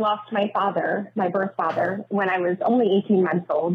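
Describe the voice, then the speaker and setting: Noticeable background noise sits behind a woman's voice. She speaks at a moderate pace and medium pitch with fairly even intonation. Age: 30s. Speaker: listener caller. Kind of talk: voicemail.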